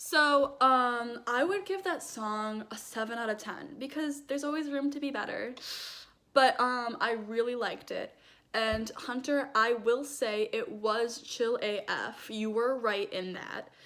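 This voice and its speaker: Loud and high-pitched, a woman speaks at a fairly slow pace in a bright, sharp tone. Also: ordinary pitch variation. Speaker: vlogger. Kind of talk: casual chat.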